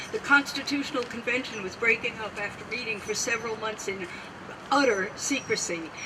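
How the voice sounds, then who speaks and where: The speaker goes at a moderate pace with ordinary pitch variation. Noticeable background noise runs underneath. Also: woman. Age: 80s+. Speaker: political activist. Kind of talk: speech.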